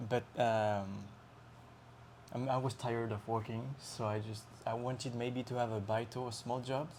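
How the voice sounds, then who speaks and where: Speaking in a French accent at a moderate pace, a man with a medium pitch keeps a flat monotone and leaves long, frequent pauses. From France, Lyon. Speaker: traveler on a working holiday. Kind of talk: casual chat. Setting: interview in Osaka. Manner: halting.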